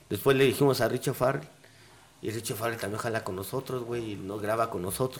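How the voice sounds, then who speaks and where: Somewhat breathy, a man talks at a fairly quick pace and medium pitch with ordinary pitch variation. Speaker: cannabis podcaster. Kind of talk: casual chat.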